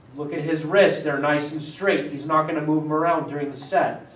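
A man is speaking, and the room echo is audible. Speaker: fitness trainer. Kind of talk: tutorial. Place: gym.

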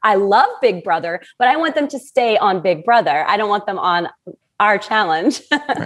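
Her pitch swings very widely. The woman speaks over a quiet background. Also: moderate pace. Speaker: remote podcast guest. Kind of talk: interview answer. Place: home room. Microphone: earbuds.

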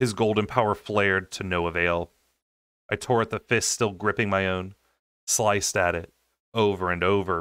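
Against a quiet background, a man speaks at a moderate pace with a fairly low pitch and fairly even intonation. His tone is bright and sharp, and the sound is dry with no echo. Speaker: audiobook reader. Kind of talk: audiobook narration. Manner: soothing. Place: home room.

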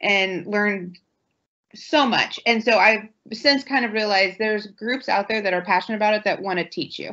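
Against a quiet background, a woman talks at a moderate pace with a medium pitch and ordinary pitch variation. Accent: American. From central Ohio. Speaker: township trustee; panelist. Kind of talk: panel discussion. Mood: earnest, reflective. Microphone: video call.

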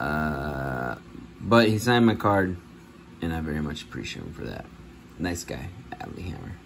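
With a very deep, low pitch and lively intonation, a man talks at a moderate pace, leaving long, frequent pauses amid noticeable background noise. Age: 30s. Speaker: sports card collector YouTuber. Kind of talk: casual vlog. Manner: casual, rambling with fillers. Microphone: phone near.

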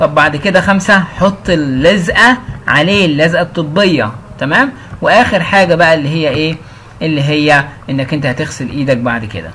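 Against noticeable background noise, a man with an Egyptian accent talks at a moderate pace in a fairly high pitch, with lively intonation. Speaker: English teacher. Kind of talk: tutorial. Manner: casual.

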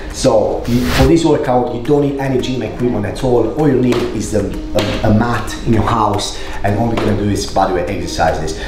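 Audible room echo and noticeable background noise surround a man speaking at a moderate pace. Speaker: fitness creator. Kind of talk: casual workout tutorial intro and outro. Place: home room.

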